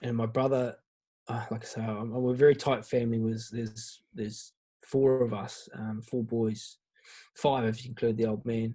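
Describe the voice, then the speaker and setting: Speaking with a New Zealand accent, a man uses a medium pitch and a dark, mellow tone. His moderate pace is broken by long, frequent pauses, and his intonation stays flat and monotone. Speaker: guest on a men's mental health podcast. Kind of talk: personal testimony in casual interview. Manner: halting, many false starts and fillers.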